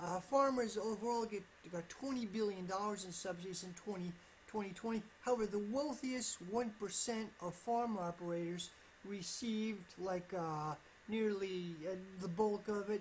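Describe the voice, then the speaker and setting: A woman at a medium pitch, fairly slow, with ordinary pitch variation and light background noise. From US Northeast, Vermont. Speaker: political YouTuber. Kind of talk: solo commentary monologue. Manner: halting, many fillers. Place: home room. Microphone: webcam.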